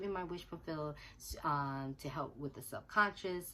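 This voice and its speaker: Her voice is very deep and low in pitch for a woman, yet bright and sharp in tone. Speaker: manifestation success story vlogger. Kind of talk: casual unscripted monologue. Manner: fast; hesitant with fillers.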